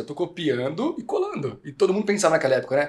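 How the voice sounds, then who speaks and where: Animated in tone, a man is talking. His pace is fairly quick. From Brazil, interior of São Paulo state. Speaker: podcast host and company CEO. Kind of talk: casual chat.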